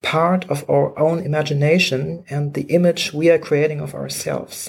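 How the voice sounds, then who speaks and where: A German accent at a moderate pace. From Germany. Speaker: historian of technology. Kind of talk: interview.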